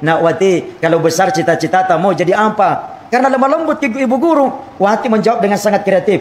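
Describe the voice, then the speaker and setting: A man with a Makassar accent speaks at a fairly quick pace with ordinary pitch variation over noticeable background noise. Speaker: Islamic preacher. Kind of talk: humorous sermon.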